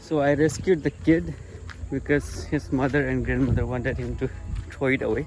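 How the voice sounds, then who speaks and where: Music plays behind a man who speaks at a moderate pace. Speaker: vlogger. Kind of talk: casual vlog. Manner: stutter.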